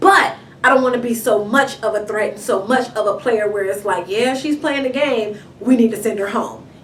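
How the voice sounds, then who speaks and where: Spoken at a moderate pace in an American accent, the voice sounds animated, with ordinary pitch variation and noticeable background noise. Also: woman, fairly high pitch for a woman. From Inglewood, Los Angeles, California. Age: 20s. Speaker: reality show contestant. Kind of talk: interview. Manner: loud.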